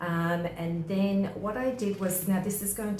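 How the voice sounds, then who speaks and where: A woman with an Australian accent talks at a fairly slow pace with fairly even intonation. Audible room echo and noticeable background noise fill the recording. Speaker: craft tutorial maker. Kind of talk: tutorial.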